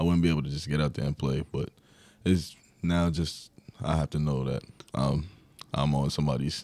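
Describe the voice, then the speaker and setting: In a New York accent, a man talks at a moderate pace with a very deep, low pitch, a dark, mellow tone and fairly even intonation, recorded very cleanly against a silent background. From New York (Long Island). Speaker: college basketball player. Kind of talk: interview.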